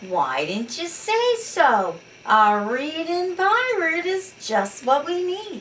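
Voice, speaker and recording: In a put-on character voice, a woman speaks very slowly at an extremely high pitch with very wide pitch swings, over clear background noise. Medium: read story. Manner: growling, pirate-talk.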